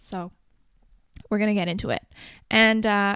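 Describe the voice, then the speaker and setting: In a very clean recording with a silent background, a woman with a Canadian accent talks in a fairly high voice with fairly even intonation. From Canada. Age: 20s. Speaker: podcast host. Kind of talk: solo podcast monologue. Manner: casual, conversational.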